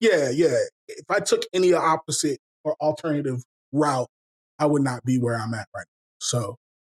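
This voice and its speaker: A man's fairly high voice at a moderate pace, with ordinary pitch variation, big swings in loudness, and a dry, close sound with no echo. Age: 30s. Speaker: rapper. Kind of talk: interview. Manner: halting.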